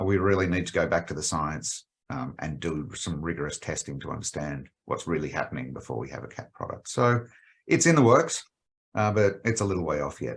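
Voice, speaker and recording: The speaker has an Australian accent. Vocal fry runs through the voice. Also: man, very deep, low pitch for a man, lively intonation, fairly quick pace. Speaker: pet health company executive. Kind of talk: podcast interview. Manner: hesitant with frequent fillers.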